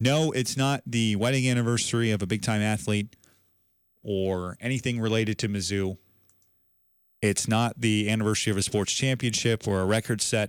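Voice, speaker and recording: Recorded very cleanly against a silent background, a plain, everyday voice moves at a moderate pace with very even loudness. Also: man, fairly low pitch for a man. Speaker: sports radio host. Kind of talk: sports podcast show recap and commentary. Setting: studio.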